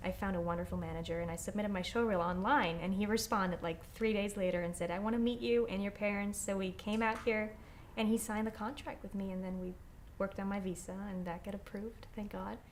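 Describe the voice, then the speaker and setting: Audible room echo surrounds a woman who speaks very fast at a medium pitch. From Austria (Vorarlberg) and northern Italy. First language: German. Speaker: actress. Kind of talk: interview. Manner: animated.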